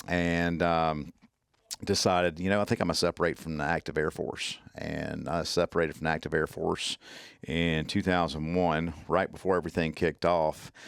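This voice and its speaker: This man has a very deep, low voice and a strong Southern US accent, speaking at a moderate pace in a flat monotone. The recording is very clean with a silent background and a dry, close sound with no echo. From US South, Mississippi. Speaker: tactical medicine instructor, former military medic. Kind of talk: casual interview chat. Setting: podcast. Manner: halting, many fillers.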